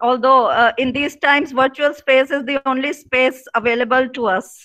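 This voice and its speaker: A woman with an Indian accent speaks at a high pitch and a moderate pace, with fairly even intonation. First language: Punjabi. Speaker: professor. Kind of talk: opening remarks at online seminar. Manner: halting, many fillers.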